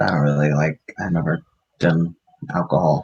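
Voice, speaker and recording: A man in a put-on character voice talks with a very deep, low pitch, keeping a moderate pace. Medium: actual play. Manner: chatty, joking.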